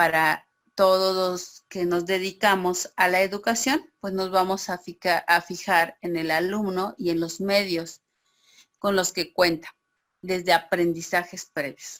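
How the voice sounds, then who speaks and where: Monotone, flat intonation at a very slow pace. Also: woman, medium pitch for a woman. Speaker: teacher. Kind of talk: online class.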